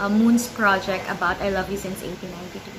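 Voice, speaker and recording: Amid audible room echo and noticeable background noise, a woman talks, her pitch varying in an ordinary way. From Philippines. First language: Filipino (Tagalog). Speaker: book vlogger. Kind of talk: casual vlog talk.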